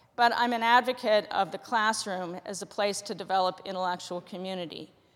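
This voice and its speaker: A woman uses a normal speaking voice at a moderate pace with ordinary pitch variation, on a very clean recording with a silent background. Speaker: college writing professor. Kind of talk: prepared talk. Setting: stage with audience.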